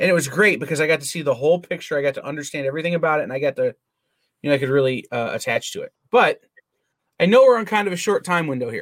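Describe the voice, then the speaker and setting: A man talks at a very fast pace with lively intonation, in a dry, close sound with no echo. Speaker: podcast host. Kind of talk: casual chat.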